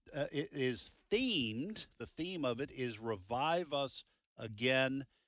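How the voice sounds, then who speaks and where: Recorded very cleanly against a silent background, a man with an American accent talks at a medium pitch with lively intonation. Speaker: radio host. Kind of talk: fundraising radio show.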